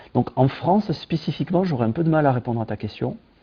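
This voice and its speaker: A man with a southern French accent and lively intonation. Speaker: tech company founder. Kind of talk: interview. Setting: video call. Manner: hesitant, many fillers.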